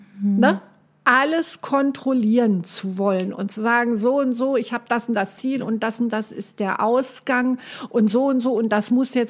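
A woman's fairly high voice, fairly slow and fairly even in intonation, an ordinary speaking voice. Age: 60s. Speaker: life coach. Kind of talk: casual chat.

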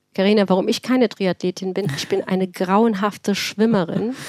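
An ordinary speaking voice moves at a moderate pace with fairly even intonation. The sound is dry and close with no echo. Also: woman. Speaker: cardiologist and start-up founder. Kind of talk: interview.

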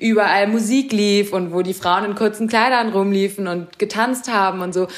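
This is a woman speaking. She has an unremarkable speaking voice. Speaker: fashion journalist. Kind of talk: interview.

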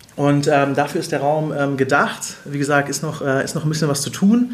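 Fairly even intonation from a man with a fairly high pitch at a moderate pace, over noticeable background noise. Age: 30s. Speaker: social media manager. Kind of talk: interview.

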